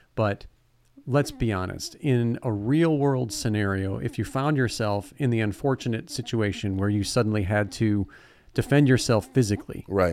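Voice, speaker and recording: An American man with a normal speaking voice talks at a moderate pace, medium in pitch with ordinary pitch variation. The recording is very clean, with a silent background. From Ohio, Lake Erie area. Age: 40s. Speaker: podcast co-host, teacher. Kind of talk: casual chat.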